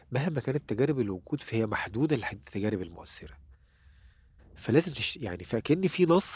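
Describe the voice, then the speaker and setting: Somewhat breathy and dark, mellow in tone, a man talks at a moderate pace and medium pitch with very wide pitch swings. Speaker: poet and writer. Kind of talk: interview. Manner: halting.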